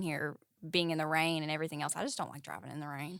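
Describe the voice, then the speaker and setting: Someone talks with a Tennessee accent on a very clean recording with a silent background. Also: woman. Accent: Southern US (Tennessee). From US South, East Tennessee. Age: 20s. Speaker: model and student. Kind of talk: casual interview chat.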